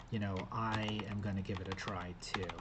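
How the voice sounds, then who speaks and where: The recording has audible room echo and noticeable background noise behind a man's fairly low voice. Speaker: gaming youtuber / vlogger. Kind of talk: casual vlog talking to camera. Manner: hesitant, stuttering with filler words.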